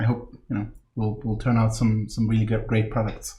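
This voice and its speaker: A man talks with a non-native accent and a somewhat breathy voice. Room echo is audible. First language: not English. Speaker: game line manager. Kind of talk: live stream introduction. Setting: office, live stream.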